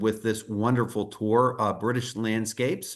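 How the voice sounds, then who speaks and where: The speaker has an American accent and fairly even intonation. The background is quiet. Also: man. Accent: American accent, despite UK birth. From United States. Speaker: tour company presenter. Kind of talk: sales presentation.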